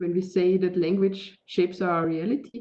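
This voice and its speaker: In a German accent, a woman speaks at a fairly low pitch with monotone, flat intonation. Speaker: digital media artist. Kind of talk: interview. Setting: video call. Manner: halting.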